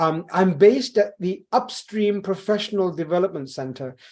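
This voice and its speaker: With a quiet background, the speech moves at a moderate pace with lively intonation. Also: man. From London, England. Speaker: corporate trainer. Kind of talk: workshop presentation. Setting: video call, live streamed. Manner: animated.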